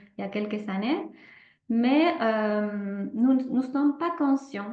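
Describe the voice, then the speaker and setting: Delivered at a very slow pace, the speech has lively intonation and audible room echo. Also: woman. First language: not French (speaking French). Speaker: holistic therapist. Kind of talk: presentation with guided exercise. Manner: hesitant, many fillers.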